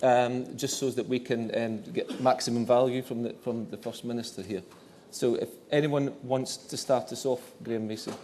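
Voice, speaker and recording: This man has a Scottish accent and a medium-pitched voice with a dark, mellow tone. He talks at a moderate pace with fairly even intonation. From northeast Scotland. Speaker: journal editor, event moderator. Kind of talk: event Q&A moderation. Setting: dinner event, stage lights, audience. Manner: halting, repetitive.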